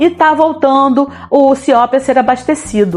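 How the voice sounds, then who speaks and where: A woman keeps a moderate pace while noticeable noise hums in the background. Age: 50s. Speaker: city council candidate, retired teacher. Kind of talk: political campaign talk to camera.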